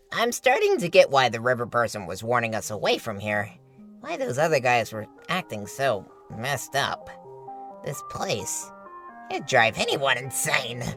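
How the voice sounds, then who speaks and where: Clear music plays in the background behind a put-on character voice pitched low to middle. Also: moderate pace. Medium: audio drama. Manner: sarcastic.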